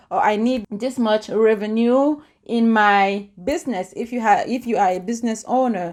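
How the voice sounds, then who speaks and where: A woman with a non-native accent speaks at a moderate pace, her pitch fairly high. The recording is very clean, with a silent background. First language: not English. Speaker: YouTuber, lifestyle and empowerment vlogger. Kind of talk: casual vlog talk to camera. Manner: animated.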